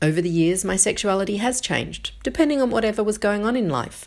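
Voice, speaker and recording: A woman's fairly quick, lively speech with vocal fry on a very clean recording with a silent background. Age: 50s. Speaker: blogger reading her own blog post. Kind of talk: reading aloud.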